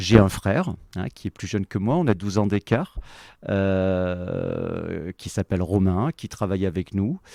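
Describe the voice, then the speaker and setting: Very cleanly recorded with a silent background and a dry, close sound with no echo, a man with a dark, mellow tone and fairly low pitch speaks at a very slow pace with ordinary pitch variation. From France, moved around (Allier, Cuba, Médoc). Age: 40s. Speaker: company executive. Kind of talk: podcast interview.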